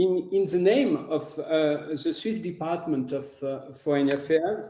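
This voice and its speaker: Speaking very slowly with a French accent, a man uses a fairly high pitch and ordinary pitch variation. Room echo is audible. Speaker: foreign ministry analyst giving closing remarks. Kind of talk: conference closing remarks. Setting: conference forum. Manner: hesitant, many fillers and repetitions.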